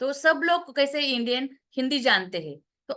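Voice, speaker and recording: A high-pitched woman's voice with a bright, sharp tone against a quiet background. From Maharashtra, India. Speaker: therapy teacher and parlour owner. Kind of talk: online class pitch. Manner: halting with many fillers.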